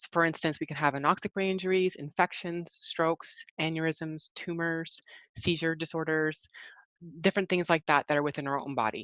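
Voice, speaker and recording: A woman talks at a fairly quick pace in an unremarkable speaking voice. Her pitch sits fairly low, and her intonation stays fairly even. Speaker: rehabilitation presenter on brain injury. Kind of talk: webinar presentation. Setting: online webinar.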